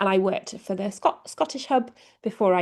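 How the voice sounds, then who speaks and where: With an English accent, a woman speaks with ordinary pitch variation. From England. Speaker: communications lead at a nonprofit. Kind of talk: presentation.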